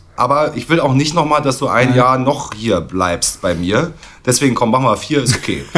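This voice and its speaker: Vocal fry runs through a man's medium-pitched voice. He speaks at a fairly quick pace. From East Berlin. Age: 40s. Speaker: drummer. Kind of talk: casual chat.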